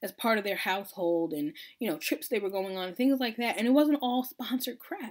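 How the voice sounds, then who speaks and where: Animated and with an American accent, a woman speaks at a moderate pace, her fairly high pitch making very wide swings, in a very clean recording with a silent background. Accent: Long Island accent, comes out at times. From Long Island, New York. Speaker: blogger, military wife. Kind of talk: casual vlog chat. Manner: animated, conversational.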